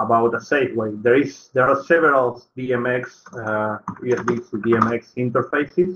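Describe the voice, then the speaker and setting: A man with a non-native accent speaks at a moderate pace. His pitch is medium and his intonation fairly even. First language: not English. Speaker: workshop tutor. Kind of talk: online tutorial. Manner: halting.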